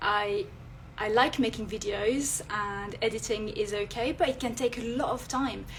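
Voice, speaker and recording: In a French accent, a woman speaks at a fairly high pitch with ordinary pitch variation and a somewhat breathy quality. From France. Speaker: illustrator and content creator. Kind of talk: live stream talk. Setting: Instagram live. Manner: hesitant, many fillers.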